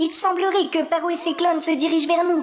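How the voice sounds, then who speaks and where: A put-on character voice at an extremely high pitch, monotone and flat, at a fairly quick pace over clear background noise. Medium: audio drama. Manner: deferential.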